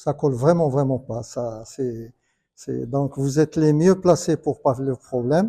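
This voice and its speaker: A man speaks fairly slowly with a fairly high pitch and a dark, mellow tone. The sound is dry and close, with no echo. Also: ordinary pitch variation. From Morocco, Casablanca. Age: 60s. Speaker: conference panelist. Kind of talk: panel discussion. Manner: halting.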